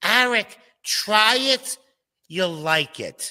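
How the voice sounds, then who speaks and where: A put-on character voice sits at a fairly high pitch. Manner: encouraging.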